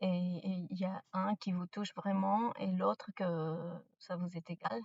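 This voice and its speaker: A fairly low-pitched, somewhat breathy woman with a non-native accent and fairly even intonation, in a dry, close sound with no echo. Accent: non-native French, out of practice. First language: not French; mainly speaks English and Spanish (speaking French). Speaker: spiritual content creator. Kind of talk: casual spiritual advice monologue. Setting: in a car. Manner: halting, many hesitations.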